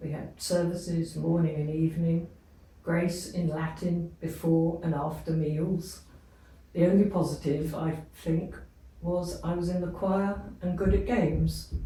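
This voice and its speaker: In a room with audible echo, a woman speaks fairly slowly in a fairly low pitch with vocal fry, a dark, mellow tone, and monotone, flat intonation. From England. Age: 80s+. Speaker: abuse survivor. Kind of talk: testimony.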